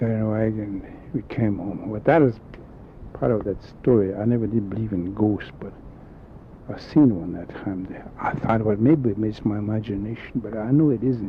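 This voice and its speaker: Through noticeable background noise, a man speaks at a fairly low pitch. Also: ordinary pitch variation, moderate pace. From South Dakota, Dakota reservation. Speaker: elder storyteller. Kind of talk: oral history storytelling.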